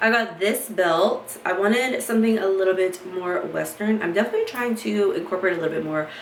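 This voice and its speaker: A woman with an American accent speaks in an animated tone at a medium pitch, with ordinary pitch variation. Audible room echo and noticeable background noise are present. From Kentucky, US South. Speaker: fashion haul vlogger. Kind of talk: casual unboxing chat. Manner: chatty, animated.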